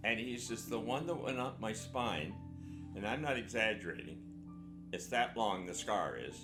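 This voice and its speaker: Music plays in the background and room echo is audible as a man talks at medium pitch and a moderate pace. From Canada. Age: 80s+. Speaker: war veteran. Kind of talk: interview storytelling. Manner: conversational, halting.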